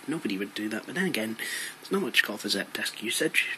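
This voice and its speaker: A quiet, medium-pitched man's voice with a Scottish accent, lively intonation and a fairly quick pace amid noticeable background noise. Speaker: tech YouTuber. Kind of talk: casual tutorial vlog. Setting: bedroom at home. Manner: very quiet, hushed; hesitant, many fillers.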